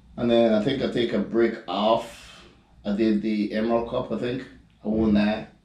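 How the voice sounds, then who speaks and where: A man with a medium-pitched voice and a dark, mellow tone speaks at a moderate pace in a monotone with flat intonation. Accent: Grenadian. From Grenada, Caribbean. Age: 30s. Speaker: professional bodybuilder. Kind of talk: casual chat.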